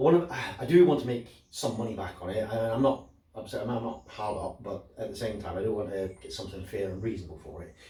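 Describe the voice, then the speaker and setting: A man talks very fast at a medium pitch, with lively intonation and big swings in loudness. An audible room echo and noticeable background noise are present. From Scotland. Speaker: motorcycle owner selling his bike. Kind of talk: casual vlog monologue. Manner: halting, many repetitions and fillers.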